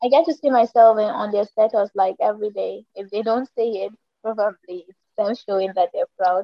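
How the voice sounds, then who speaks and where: A woman with a Nigerian accent, at a moderate pace and with ordinary pitch variation. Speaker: TikTok creator and media manager. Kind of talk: casual interview chat. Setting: video call.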